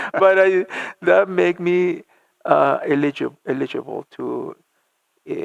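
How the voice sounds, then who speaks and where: Recorded dry and close with no echo, a man with a Spanish accent talks at a fairly slow pace. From Argentina (La Plata). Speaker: church music minister. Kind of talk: interview. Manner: halting, many repetitions and fillers.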